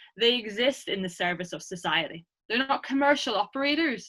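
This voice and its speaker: A woman speaks at a fairly quick pace with a bright, sharp tone and lively intonation. The background is quiet. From Ireland. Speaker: academic researcher; presenter. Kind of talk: lecture. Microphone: webcam.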